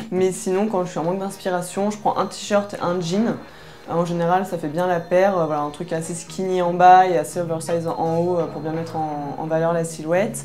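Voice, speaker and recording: A woman with a fairly low pitch speaks in a monotone, flat way at a moderate pace, with noticeable background noise and audible room echo. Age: 20s. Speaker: fashion and beauty youtuber, student. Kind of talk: interview. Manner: hesitant, many filler sounds.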